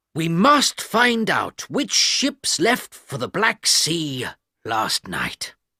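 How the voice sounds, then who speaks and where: This man uses a put-on character voice with a high pitch. He talks at a very slow pace. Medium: read story.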